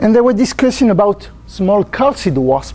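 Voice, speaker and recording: A man with a strong French accent at a moderate pace, over noticeable background noise. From France. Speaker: botanist researcher. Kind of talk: lecture. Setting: conference talk with audience. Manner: halting; quiet. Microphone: no mic for room, only camera mic.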